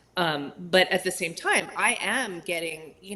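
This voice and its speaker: Noticeable background noise surrounds this woman's voice. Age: 60s. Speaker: plant-based cooking teacher and health coach. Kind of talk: casual chat.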